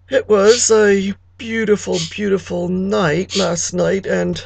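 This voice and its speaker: A woman's raspy, put-on character voice at medium pitch, delivered at a fairly slow pace. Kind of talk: comic monologue. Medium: solo performance. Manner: chatty, confiding, gossipy.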